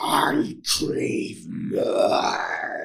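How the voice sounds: In a put-on character voice, a man speaks in a raspy, menacing tone with an audible echo.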